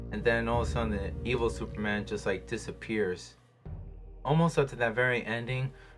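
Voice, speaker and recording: Background music plays as a man talks at a fairly quick pace. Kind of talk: casual movie review talk. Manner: hesitant, rambling.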